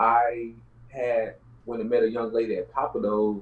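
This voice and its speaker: A man talks with ordinary pitch variation. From Houston, Texas (South Park). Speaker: real estate entrepreneur, former drug dealer. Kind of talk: casual interview, life story.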